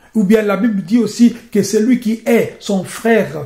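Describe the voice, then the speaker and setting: Dark, mellow tone in a man's voice that sits high in pitch. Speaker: preacher. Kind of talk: sermon.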